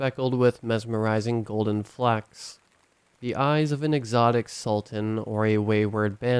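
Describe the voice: Someone reads the text aloud plainly.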